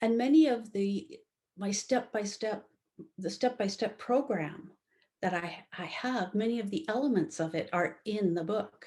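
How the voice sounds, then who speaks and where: Speaking at a fairly slow pace, a woman with a fairly high pitch sounds somewhat breathy, her intonation lively. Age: 60s. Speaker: love relationship coach and author. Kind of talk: interview. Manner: halting.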